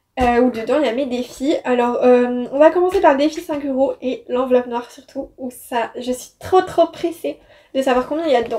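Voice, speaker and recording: A woman has a high-pitched voice. Her tone is dark and mellow. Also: ordinary pitch variation, moderate pace. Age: 20s. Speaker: law student. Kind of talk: casual talk to camera. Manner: upbeat.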